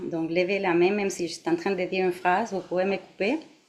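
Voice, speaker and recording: At a moderate pace, a woman with a Mexican accent talks at a medium pitch with fairly even intonation. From Mexico. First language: Spanish (speaking French). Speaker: meditation teacher. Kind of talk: dharma talk to an audience. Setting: meditation centre with live audience and online. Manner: halting, many fillers.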